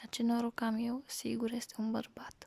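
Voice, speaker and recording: Fairly high for a woman and somewhat breathy, her voice has a dark, mellow tone and flat, monotone intonation, moving at a fairly slow pace with a dry, close sound and no echo. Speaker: ASMR creator. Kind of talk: story reading in a quiet voice. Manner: soft, slow, whispery.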